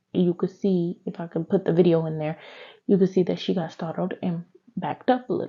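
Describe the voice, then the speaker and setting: Her voice is somewhat breathy, and her intonation stays fairly even. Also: fairly quick pace. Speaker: true crime youtuber. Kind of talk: casual storytelling. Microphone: new mic, talking quietly.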